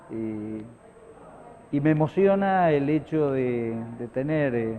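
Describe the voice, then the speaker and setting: The intonation is lively. The pace is very slow. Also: man, fairly high pitch for a man. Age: 60s. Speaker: radio broadcaster. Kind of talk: interview. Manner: halting, many fillers and repetitions.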